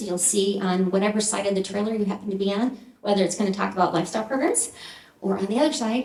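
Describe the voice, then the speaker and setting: A woman speaks at a fairly quick pace with a medium pitch and fairly even intonation. Some room echo can be heard. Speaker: nonprofit program organizer. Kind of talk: speech to event audience. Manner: fast.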